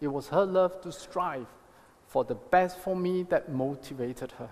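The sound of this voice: This man's fairly high voice has a slightly mellow tone, ordinary pitch variation and a fairly slow pace.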